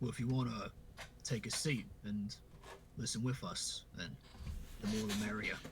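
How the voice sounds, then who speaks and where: A man puts on a raspy character voice at a medium pitch and moderate pace, with long, frequent pauses over clear background noise. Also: ordinary pitch variation. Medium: actual play. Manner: casual, hesitant.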